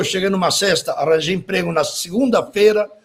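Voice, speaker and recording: Here a man with a Spanish accent speaks in a high voice. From Uruguay, Montevideo. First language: Spanish (speaking Portuguese). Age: 60s. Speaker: graphic designer, typographer. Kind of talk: interview.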